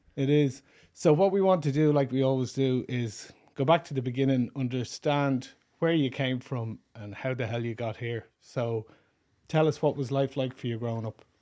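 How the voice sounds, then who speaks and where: A man with a Dublin accent, medium pitch and a dark, mellow tone, at a moderate pace with ordinary pitch variation, over a quiet background. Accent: Dublin Irish. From Ireland, Dublin. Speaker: podcast host. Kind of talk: casual interview chat.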